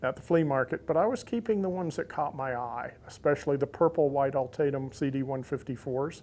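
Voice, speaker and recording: Using an ordinary speaking voice with a fairly high pitch, a man talks at a fairly quick pace with ordinary pitch variation and hardly any pauses. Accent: American. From US South, Central Florida (Lakeland). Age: 60s. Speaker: insulator collector. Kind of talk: interview monologue.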